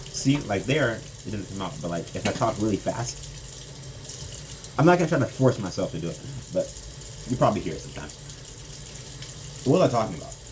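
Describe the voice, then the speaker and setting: Very fast and broken by long, frequent pauses, a man's medium-pitched speech swings very widely in pitch and heavily in loudness. Noticeable background noise runs underneath. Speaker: vlogger. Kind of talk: casual monologue. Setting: at home doing dishes.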